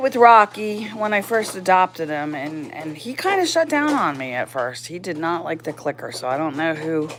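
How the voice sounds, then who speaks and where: With noticeable background noise, a woman speaks at a moderate pace in a fairly low pitch that swings very widely. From Tennessee. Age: 60s. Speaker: dog owner livestreamer. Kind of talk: casual livestream chat. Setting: livestream. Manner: halting, many repeated words.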